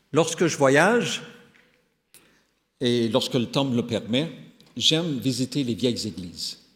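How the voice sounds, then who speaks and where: A man at a medium pitch and very slow pace, with lively intonation and long, frequent pauses. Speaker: pastor and professor. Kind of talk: sermon. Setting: church. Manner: halting.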